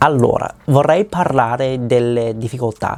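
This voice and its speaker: This is a man speaking at a medium pitch. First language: not Italian (speaking Italian). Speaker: language learner vlogger. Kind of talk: reading a personal script aloud. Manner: halting.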